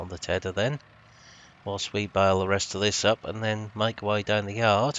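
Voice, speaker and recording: A man speaks at a moderate pace in a fairly low voice with a relaxed tone. His intonation is monotone and flat. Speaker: gaming video creator. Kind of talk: gameplay commentary. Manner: relaxed, casual.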